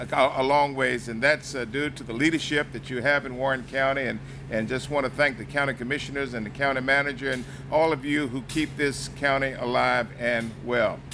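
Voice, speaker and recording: A man with an American accent talks at a fairly quick pace and medium pitch, his intonation monotone and flat. Noticeable background noise runs under him. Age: 60s. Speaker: congressman. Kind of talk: public speech. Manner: halting.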